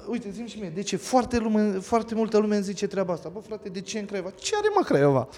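The speech comes at a very fast pace with hardly any pauses and ordinary pitch variation. Noticeable background noise sits behind it. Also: man, high pitch for a man. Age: 30s. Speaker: escape room owner. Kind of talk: casual chat. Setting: on location at his escape house.

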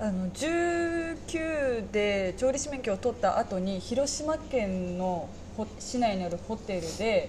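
Speaking at a very slow pace with very wide pitch swings, a woman is heard through audible room echo and noticeable background noise. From Saga, Japan. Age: 20s. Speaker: restaurant part-time worker. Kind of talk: casual chat.

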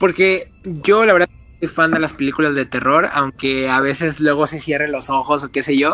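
Using a plain, everyday voice, a man speaks at a moderate pace with fairly high pitch and fairly even intonation. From Mexico, Reynosa, Tamaulipas. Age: 20s. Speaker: communications graduate. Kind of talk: casual chat, storytelling. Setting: remote call from home.

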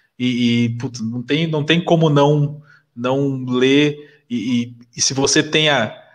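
In a normal speaking voice, a man keeps a medium pitch and fairly even intonation. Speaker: podcast host. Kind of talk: casual interview chat. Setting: live stream.

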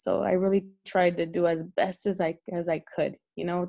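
Over a quiet background, a woman with an American accent speaks in a fairly low pitch, her tone dark and mellow and her intonation fairly even. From Los Angeles area, California. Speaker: school assistant principal. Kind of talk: interview. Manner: halting, many repetitions.

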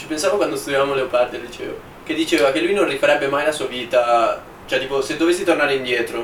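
Over noticeable background noise, a man talks at a very fast pace in a fairly high pitch with ordinary pitch variation. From Milan, Italy. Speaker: podcast co-host, economics student. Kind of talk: casual chat.

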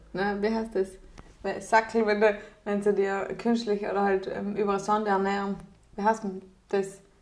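Flat, monotone speech at a moderate pace over noticeable background noise. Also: woman, medium pitch for a woman. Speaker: podcast co-host. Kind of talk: casual chat.

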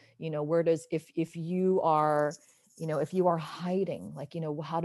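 Speaking in a normal speaking voice, a woman with an American accent talks at a moderate pace, fairly low in pitch and fairly even in intonation, against a quiet background. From Southern California. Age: 40s. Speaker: actress. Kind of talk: casual interview chat.

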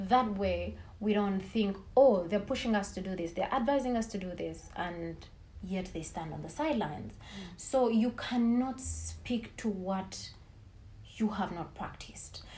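A woman's dark, mellow, somewhat breathy voice moves at a fairly slow pace with ordinary pitch variation and big swings in loudness. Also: medium pitch for a woman. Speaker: team leader and businesswoman. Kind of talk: interview. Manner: halting.

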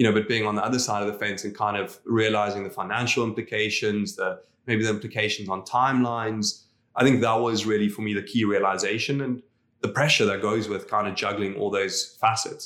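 Man with a South African accent, fairly low pitch and monotone, flat intonation at a fairly quick pace, on a very clean recording with a silent background. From South Africa, Afrikaner community. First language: Afrikaans. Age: 30s. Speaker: real estate entrepreneur. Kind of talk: interview. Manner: hesitant, many fillers and repetitions.

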